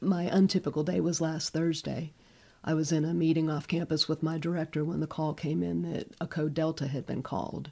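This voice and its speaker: A woman speaks at a moderate pace in a very deep, low pitch, her dark, mellow tone flat and monotone with vocal fry. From Northeast Ohio, US. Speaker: hospital chaplain. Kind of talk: radio interview. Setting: studio.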